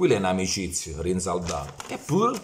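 Light background noise sits under very wide pitch swings in a Foggia accent. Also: man. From Italy, Foggia (Apulia); Apulia, Italy. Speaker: football YouTuber. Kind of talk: ranting monologue. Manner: animated. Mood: mocking, heated rant. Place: home room. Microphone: phone near.

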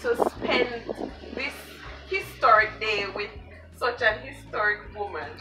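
There is music in the background as a woman speaks. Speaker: interviewer. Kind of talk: interview questions. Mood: warm, cheerful. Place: home room.

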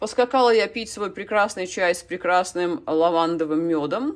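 A female voice sits at a medium pitch. Nothing disturbs the quiet background. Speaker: orchid-growing video blogger. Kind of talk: casual vlog tutorial. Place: kitchen. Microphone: phone near.

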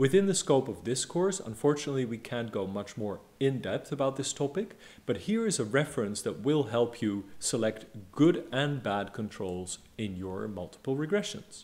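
Here a man talks at a moderate pace. His pitch swings very widely. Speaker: lecturer. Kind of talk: lecture. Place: home room. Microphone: studio mic.

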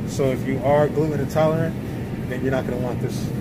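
A man talks with noticeable background noise behind him. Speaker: grocery vlogger. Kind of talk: casual vlog chat. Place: shop. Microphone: phone near.

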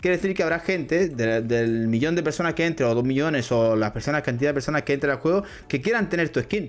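An animated man with a fairly high pitch speaks very fast, his intonation lively. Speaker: crypto gaming youtuber. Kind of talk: casual video explainer.

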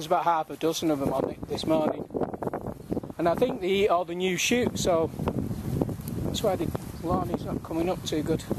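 A man talking at a fairly quick pace, the sound dry with no echo, against loud background noise. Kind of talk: casual commentary. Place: garden. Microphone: phone near.

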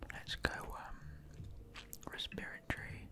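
The speaker whispers, soft-spoken and fairly slow, over noticeable background noise in a dry sound with no echo. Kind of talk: casual study-along commentary. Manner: soft ASMR whisper. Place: home room. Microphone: studio mic.

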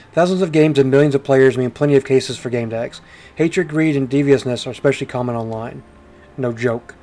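A man talking at a very fast pace, with music in the background. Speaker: video game streamer and reviewer. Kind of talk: game review and gameplay commentary, casual; noir detective narration of in-game text, read aloud. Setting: home recording with gameplay audio. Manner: animated, jokey, upbeat.

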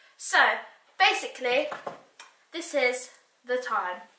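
A woman speaks in a raised, projected voice with a bright, sharp tone. Audible room echo surrounds her. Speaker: vlogger. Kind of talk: casual vlog chat. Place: home room. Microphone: camera far.

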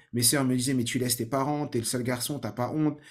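On a very clean recording with a silent background, a man speaks at a medium pitch with fairly even intonation. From Paris suburbs, Saint-Ouen (Seine-Saint-Denis). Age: 30s. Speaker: learning-techniques trainer and podcaster. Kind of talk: personal story monologue. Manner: many hesitations and repetitions.

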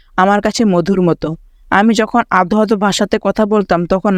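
On a very clean recording with a silent background, a man with a high pitch speaks with fairly even intonation. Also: dry, close sound with no echo. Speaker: education YouTuber. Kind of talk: reading aloud.

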